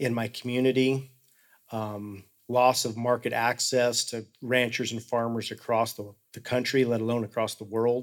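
In an American accent, a man with a medium-pitched voice talks at a moderate pace in a flat monotone, on a very clean recording with a silent background. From Colorado. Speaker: rancher. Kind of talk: panel discussion. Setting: stage with audience.

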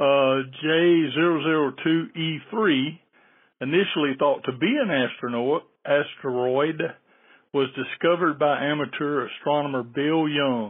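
A man's fairly high-pitched, a plain, everyday voice, fairly slow in pace with ordinary pitch variation. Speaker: listener. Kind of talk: reading a listener question.

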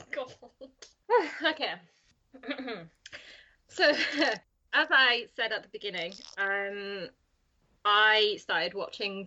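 In a northern English accent, a woman talks at a very slow pace. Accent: flat northern English. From north of England. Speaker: podcast roundtable guest, fan of the show.

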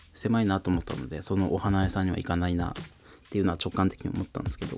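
A man speaks in a very deep, low voice. His pace is very fast. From Fukuoka, Japan. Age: 30s. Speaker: tatami craftsman and rapper. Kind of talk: casual solo podcast talk.

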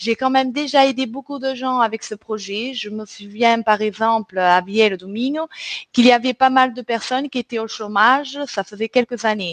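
A woman's normal speaking voice, fairly high in pitch with ordinary pitch variation and a moderate pace, in a dry, close sound with no echo. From Portugal and southern France. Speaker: recruitment team leader, podcast host. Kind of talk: scripted presentation.

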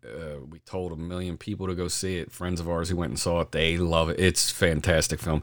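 Very deep, low male voice at a fairly quick pace, in a very clean recording with a silent background. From Delaware County, Pennsylvania. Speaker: podcast host. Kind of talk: casual chat.

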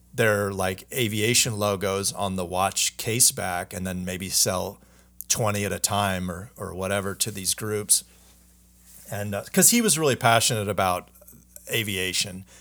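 On a very clean recording with a silent background, a man with an American accent speaks fairly slowly in a bright, sharp tone, his fairly low pitch held in fairly even intonation. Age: 40s. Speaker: watch brand founder. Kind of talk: casual chat.

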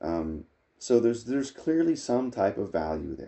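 A somewhat breathy voice belongs to this man. He keeps a moderate pace. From Nova Scotia, Canada (Acadian, Clare). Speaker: family history guest. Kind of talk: casual interview.

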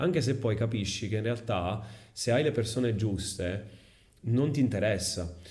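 Somewhat breathy and very even in loudness, a man speaks at a medium pitch and a fairly slow pace with ordinary pitch variation, with audible room echo. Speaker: English teacher and content creator. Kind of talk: casual interview.

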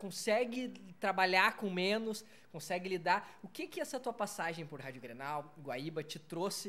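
In a southern Brazilian accent, a man projects a raised, high-pitched voice with a bright, sharp tone and lively intonation. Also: fairly slow pace. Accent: gaúcho Brazilian Portuguese. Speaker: podcast host. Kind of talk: casual interview. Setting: bar recording space.

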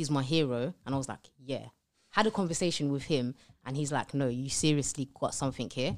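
With a London accent, a woman talks at a fairly quick pace in a very deep, low pitch. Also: ordinary pitch variation. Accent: London English, Multicultural London English. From East London, England. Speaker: public speaker and entrepreneur. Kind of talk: casual interview chat.

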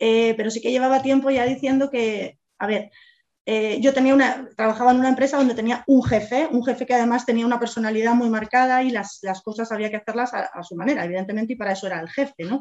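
Her pitch fairly high with ordinary pitch variation, a woman speaks at a very fast pace. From Spain, Madrid. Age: 40s. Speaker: real estate agent and business owner. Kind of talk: interview.

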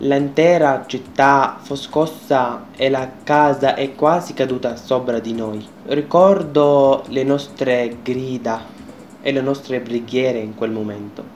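With music in the background, a man with an Arabic accent speaks at a very slow pace and medium pitch, with ordinary pitch variation. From Syria, Homs. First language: Arabic (speaking Italian). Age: 20s. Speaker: refugee student and radio presenter. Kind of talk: personal testimony.

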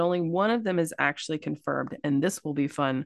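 In a dry, close sound with no echo and a quiet background, a woman with a Kentucky accent talks with ordinary pitch variation. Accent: Kentucky Southern. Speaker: podcast co-host. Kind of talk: casual storytelling chat.

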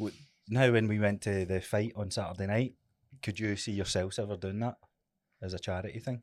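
In a very clean recording with a silent background, the speech moves at a fairly quick pace with long, frequent pauses and fairly even intonation. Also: man, fairly low pitch for a man. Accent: Scottish. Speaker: personal trainer. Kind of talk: casual chat.

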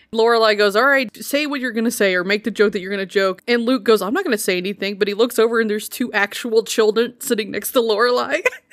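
Talking very fast with hardly any pauses, a woman uses a fairly high pitch with ordinary variation over noticeable background noise. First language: sign language. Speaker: podcast co-host. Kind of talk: casual chat.

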